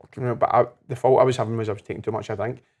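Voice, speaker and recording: A man at medium pitch talks at a very fast pace in a Glasgow accent. His intonation is monotone and flat. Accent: Scottish (Glasgow area). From Scotland. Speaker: life coach, podcast guest. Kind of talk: casual chat. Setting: whisky bar.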